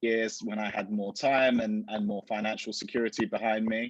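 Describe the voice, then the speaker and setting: The delivery is monotone and flat at a moderate pace, with a dry, close sound and no echo. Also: man. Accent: Essex. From Essex, England. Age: 30s. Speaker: fashion retailer. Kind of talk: interview.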